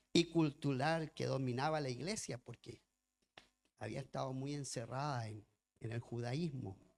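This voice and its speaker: Here a man speaks at a fairly slow pace. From lived in Chile as a child, raised elsewhere. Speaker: pastor and missionary. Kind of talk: sermon. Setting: church. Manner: reading from notes.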